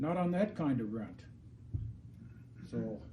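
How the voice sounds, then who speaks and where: There is audible room echo around a man whose dark, mellow voice is somewhat breathy. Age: 70s. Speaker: landlord speaking at public hearing. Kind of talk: public comment. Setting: city council meeting. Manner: halting.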